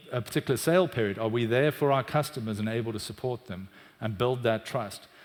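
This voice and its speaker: This is a man with a medium-pitched voice and ordinary pitch variation. The recording is very clean, with a silent background. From South Africa, Cape Town. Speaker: tech executive, chief customer officer. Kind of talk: conference talk.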